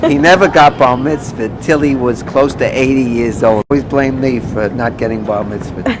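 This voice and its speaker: A man speaks at a moderate pace in a New York accent, his pitch medium. Noticeable background noise sits behind him. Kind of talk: interview answer.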